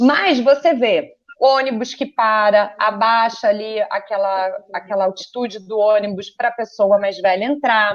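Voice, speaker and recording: With an ordinary speaking voice, a woman talks at a fairly slow pace and fairly high pitch, with ordinary pitch variation and hardly any pauses. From Rio de Janeiro, Brazil. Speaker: photographer and communications professional. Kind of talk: interview.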